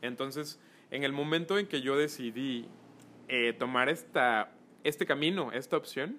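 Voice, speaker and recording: A man speaks with a Mexican accent. His pitch variation is ordinary. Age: 20s. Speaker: photographer and influencer manager. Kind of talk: casual chat.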